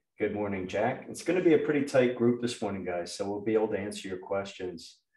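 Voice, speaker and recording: Against a quiet background with audible room echo, a man speaks in a dark, mellow tone. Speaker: webinar host. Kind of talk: casual meeting host chat. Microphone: video call.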